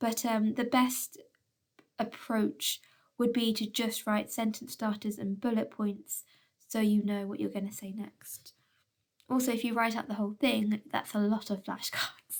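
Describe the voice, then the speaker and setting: Somewhat breathy, a woman speaks at a fairly slow pace and fairly high pitch with monotone, flat intonation. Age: adult, well past school age. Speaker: schoolteacher. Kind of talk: recorded video lesson. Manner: frequent fillers.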